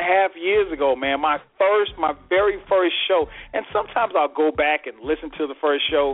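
A man with a high pitch speaks at a moderate pace, showing ordinary pitch variation. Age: 40s. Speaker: radio show host. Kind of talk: casual chat.

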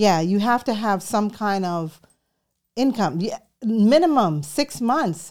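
Her pitch swings very widely. The woman talks at a very slow pace. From New York City, born in Jamaica. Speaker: real estate broker. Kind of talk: interview.

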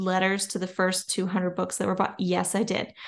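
Against a quiet background, a woman speaks at a medium pitch with an American accent. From Louisiana. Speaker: children's and nonfiction author. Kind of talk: casual interview chat.

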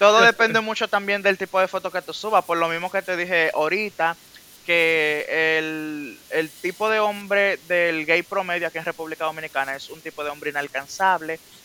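A man speaks in a high pitch with fairly even intonation. The sound is dry and close with no echo, and background noise is noticeable. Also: moderate pace. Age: 20s. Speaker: industrial psychologist guest. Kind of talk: casual chat.

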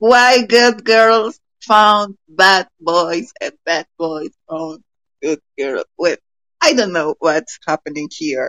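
A woman with a Colombian accent speaks very slowly at a medium pitch, her intonation lively. Her voice sounds dry and close, without echo. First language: Spanish. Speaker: podcast listener and participant. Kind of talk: casual group chat. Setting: online audio room. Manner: halting, hesitant English.

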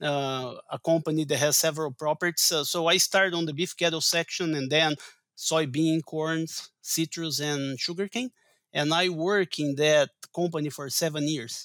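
A man with a Portuguese accent talks at a moderate pace. His fairly high pitch stays in fairly even intonation. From Brazil. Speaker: agronomy professor and forage researcher. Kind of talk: interview.

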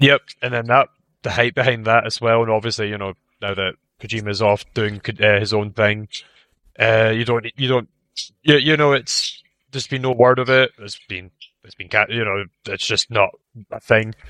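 With a Scottish accent, a man talks in a bright, sharp tone with big swings in loudness, long and frequent pauses, and fairly even intonation, all in a dry, close sound with no echo. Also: medium pitch for a man, moderate pace. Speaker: video game podcast co-host. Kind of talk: casual chat.

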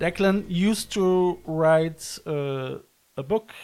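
This is a man speaking. He has a German accent. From Germany, Cologne. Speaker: podcast host, visual artist. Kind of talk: casual interview. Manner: halting, many repetitions.

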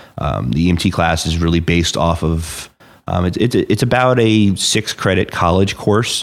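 With an American accent, a man speaks at a moderate pace in a very deep, low pitch with ordinary pitch variation. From New Jersey, Hunterdon County. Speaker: rescue squad chief. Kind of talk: interview.

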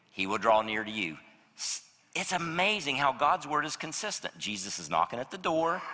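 This man's voice is bright and sharp, fairly high in pitch with vocal fry, and it moves at a moderate pace with an animated tone and very wide pitch swings. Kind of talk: sermon, preacher in full flow, urgent and pleading. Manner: animated, emphatic, building intensity; conversational, direct appeals to the congregation.

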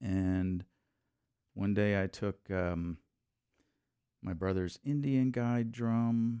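With an American accent and a dark, mellow tone, a man speaks at a very slow pace and a fairly low pitch, with ordinary pitch variation and long, frequent pauses. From Texas. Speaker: jazz drummer and church music director. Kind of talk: casual interview chat.

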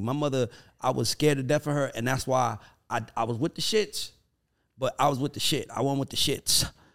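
Speaking at a moderate pace, a man has a medium pitch and ordinary pitch variation. His tone is animated. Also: very clean recording, silent background. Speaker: podcast co-host. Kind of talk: casual chat.

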